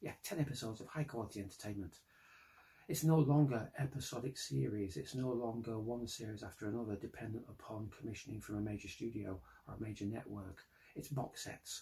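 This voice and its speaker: A somewhat breathy male voice, medium in pitch and dark and mellow in tone, at a fairly quick pace. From Britain. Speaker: science fiction writer. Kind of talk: pitch presentation to camera.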